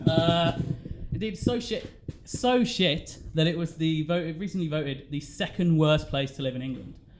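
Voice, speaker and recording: At a moderate pace, a man speaks in a fairly high voice, with audible room echo around him. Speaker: stand-up comedian. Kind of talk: stand-up. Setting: stage with audience.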